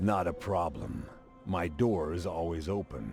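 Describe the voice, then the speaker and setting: Over clear music in the background, a man puts on a character voice with a very deep, low pitch and speaks at a moderate pace. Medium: video game. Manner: meek, earnest.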